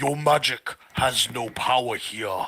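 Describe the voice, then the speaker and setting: A put-on character voice from a man, raspy and resonant, medium in pitch and fairly slow. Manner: ominous.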